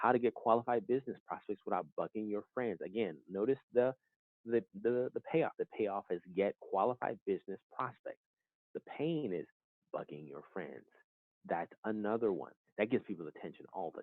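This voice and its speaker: A man speaks with a fairly low pitch. His pitch varies in an ordinary way. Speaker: online business trainer. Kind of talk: webinar training presentation. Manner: fast; casual with many fillers.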